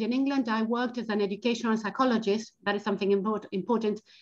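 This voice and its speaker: Against a quiet background, a woman speaks at a very fast pace in a somewhat breathy voice. Her pitch is fairly high, with ordinary pitch variation. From Argentina. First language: Spanish. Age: 40s. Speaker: educational psychologist and financial coach. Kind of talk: webinar talk. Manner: halting, with repetitions.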